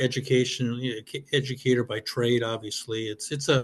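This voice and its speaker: This man has a plain, everyday voice, a medium pitch, fairly even intonation and a fairly quick pace. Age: 60s. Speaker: baseball umpire coordinator. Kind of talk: interview.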